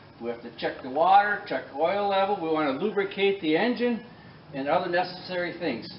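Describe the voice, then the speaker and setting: A man with a high pitch talks at a fairly quick pace with lively intonation, amid light background noise and audible room echo. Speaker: tractor mechanic. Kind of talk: tutorial. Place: workshop. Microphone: camera far.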